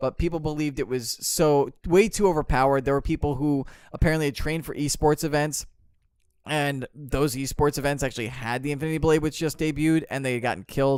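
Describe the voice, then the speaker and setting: In a very clean recording with a silent background, a man with a fairly high pitch speaks in an animated tone at a very fast pace. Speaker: podcast co-host. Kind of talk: casual chat.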